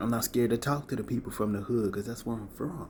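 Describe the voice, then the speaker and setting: Somewhat breathy, a man speaks fairly quickly in a medium pitch. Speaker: spiritual content creator. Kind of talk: motivational talk to camera. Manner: animated.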